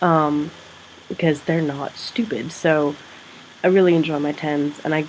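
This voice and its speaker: A husky woman with a very deep, low pitch talks at a moderate pace. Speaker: secondary school teacher and vlogger. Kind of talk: casual vlog. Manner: rambling, animated.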